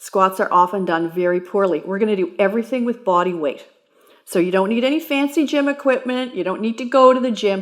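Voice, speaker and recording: A woman talks at a fairly quick pace and a medium pitch, with lively intonation. Hers is a normal speaking voice. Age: 60s. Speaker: personal trainer. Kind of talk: exercise tutorial.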